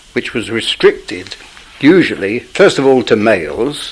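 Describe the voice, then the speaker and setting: A man with a London accent, medium-pitched, at a moderate pace, over noticeable background noise. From East End of London. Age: 70s. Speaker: interviewee recalling radical history. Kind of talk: oral history interview. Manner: halting.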